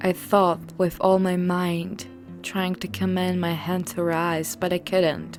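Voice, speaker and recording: Over background music, a woman with a fairly low pitch speaks at a very slow pace, her pitch swinging very widely. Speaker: horror story narrator. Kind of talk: horror story narration.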